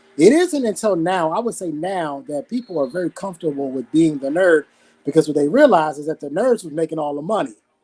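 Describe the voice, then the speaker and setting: A man with a fairly high pitch and a dark, mellow tone speaks at a fairly quick pace with lively intonation. The sound is dry and close, with no echo. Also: big swings in loudness. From Washington DC. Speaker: podcast co-host. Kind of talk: casual chat.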